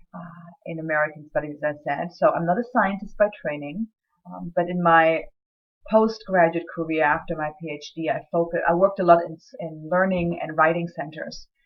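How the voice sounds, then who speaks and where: Speaking in a German accent at a moderate pace, a woman with a fairly low pitch keeps a fairly even intonation while her loudness swings a lot. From Germany. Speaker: writing center director and lecturer. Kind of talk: recorded course introduction. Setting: self-recorded video. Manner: hesitant, many fillers.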